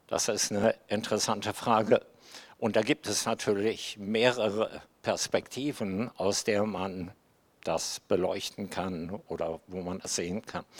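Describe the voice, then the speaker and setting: In a very clean recording with a silent background, a man speaks fairly slowly with fairly even intonation. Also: fairly low pitch for a man. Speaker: guest preacher. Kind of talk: sermon.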